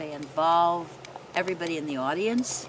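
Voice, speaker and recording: A woman with a fairly low voice and ordinary pitch variation is heard with audible room echo and noticeable background noise. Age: 80s+. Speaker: mother of the interviewer. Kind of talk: casual family interview. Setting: outdoors in backyard.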